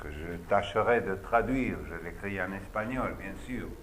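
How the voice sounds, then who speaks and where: Audible room echo surrounds the recording. A man with an Argentine accent speaks at a very slow pace. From Argentina. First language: Spanish (speaking French). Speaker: opera singer and voice teacher. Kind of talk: lecture.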